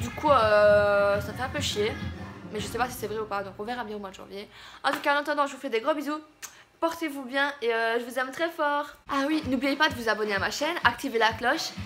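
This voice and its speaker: Faint music plays behind a woman with a high pitch. She talks at a fairly quick pace with ordinary pitch variation and big swings in loudness. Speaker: vlogger. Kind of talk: casual vlog chat. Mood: warm, affectionate sign-off. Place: home room. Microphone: phone near.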